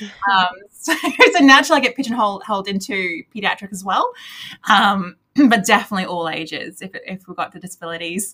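A woman with a plain, everyday voice talks at a fairly quick pace and a medium pitch, her intonation lively and her loudness swinging widely. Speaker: speech pathologist and practice director. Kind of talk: casual interview chat.

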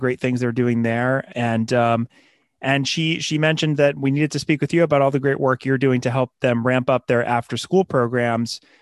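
Against a quiet background, a man with an unremarkable speaking voice talks at a fairly quick pace, medium in pitch, with fairly even intonation and a dry, close sound with no echo. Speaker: podcast host. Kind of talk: interview.

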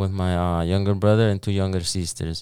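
A man with a Spanish accent and fairly low pitch, on a very clean recording with a silent background. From El Salvador. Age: 20s. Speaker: cleaning business founder. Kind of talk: casual interview. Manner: halting.

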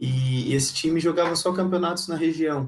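A somewhat breathy man at a moderate pace, with fairly even intonation. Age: 20s. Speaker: volleyball performance analyst. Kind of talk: casual interview.

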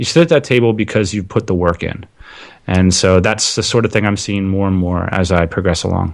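A man with a plain, everyday voice and an American accent speaks at a fairly quick pace, with a fairly low pitch and ordinary pitch variation. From central Pennsylvania, small town. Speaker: entrepreneur, podcaster. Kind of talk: casual interview chat.

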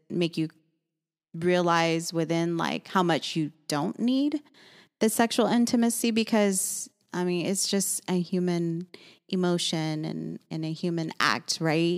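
A woman speaks with a fairly low pitch. The recording is very clean, with a silent background. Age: 40s. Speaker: esthetician and business owner. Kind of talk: casual chat. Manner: calm.

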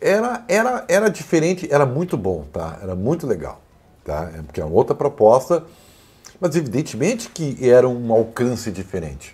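Speaking at a moderate pace, a man with a medium pitch and a dark, mellow tone lets his pitch swing very widely, with vocal fry. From Rio Grande do Sul, Brazil (Santa Maria). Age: 50s. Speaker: sports journalist and commentator. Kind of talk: casual chat.

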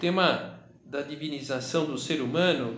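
Room echo is audible throughout. Background noise is noticeable too. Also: man. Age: 50s. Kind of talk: guided meditation. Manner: halting.

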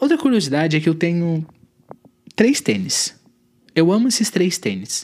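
This man's voice sits fairly high and leaps across a very wide pitch range. He speaks at a moderate pace. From southern Brazil, Santa Catarina (Tubarão). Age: 20s. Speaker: podcast host. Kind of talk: casual monologue.

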